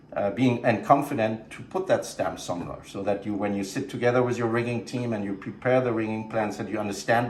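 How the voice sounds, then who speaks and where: A man's medium-pitched voice at a fairly quick clip, with ordinary pitch variation, audible room echo and noticeable background noise. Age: 50s. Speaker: show production director. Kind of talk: casual interview. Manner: halting, many fillers and repeats.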